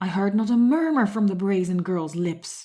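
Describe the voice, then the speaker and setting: Over a very clean recording with a silent background, a woman uses a booming put-on character voice at medium pitch and a moderate pace. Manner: booming, angry.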